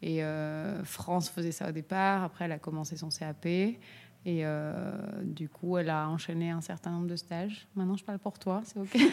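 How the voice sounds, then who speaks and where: A woman with a fairly low pitch uses an ordinary speaking voice, talking at a moderate pace with fairly even intonation. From Corsica. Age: 30s. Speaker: ceramicist. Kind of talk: casual chat.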